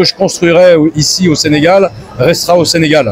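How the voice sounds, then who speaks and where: A man talks in a fairly high voice as noticeable background noise plays behind him. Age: 60s. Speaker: sports and music event promoter. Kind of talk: interview.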